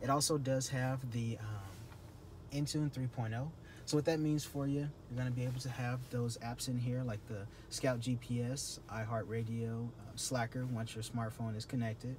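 A man's somewhat breathy voice comes at a moderate pace with fairly even intonation, over noticeable background noise. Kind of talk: product walk-around presentation. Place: car. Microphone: phone near.

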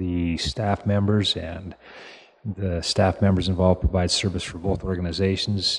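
This man speaks at a moderate pace in a very deep, low, somewhat breathy voice with fairly even intonation against a quiet background. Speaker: municipal administrator presenting to council. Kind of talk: formal meeting report. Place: meeting room.

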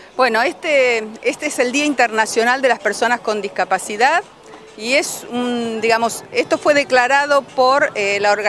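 Speaking at a fairly slow pace, a woman uses a high voice with ordinary pitch variation over light background noise, the sound dry with no echo. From Argentina. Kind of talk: interview. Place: garden. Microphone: handheld.

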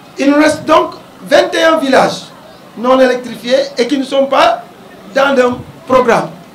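Over light background noise and audible room echo, a man speaks at a very slow pace with long, frequent pauses, his extremely high pitch showing ordinary variation and his loudness very even. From Senegal. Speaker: mayor. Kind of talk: public speech. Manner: formal. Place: street. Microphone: handheld.

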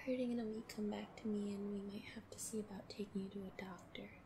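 A playful, gentle tone over noticeable background noise

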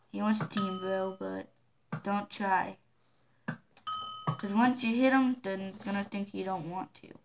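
Against noticeable background noise, a woman speaks very slowly with ordinary pitch variation. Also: medium pitch for a woman. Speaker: gamer. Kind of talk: gameplay commentary.

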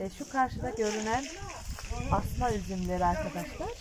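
Noticeable background noise is present. The pace stays moderate. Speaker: vlogger showing grandmother's garden. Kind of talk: casual garden tour to camera. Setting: outdoors. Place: garden. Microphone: phone near.

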